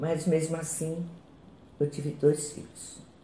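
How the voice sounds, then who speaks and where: This woman's voice is very deep and low in pitch. It sounds somewhat breathy. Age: 60s. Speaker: chronic pain patient. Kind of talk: testimony.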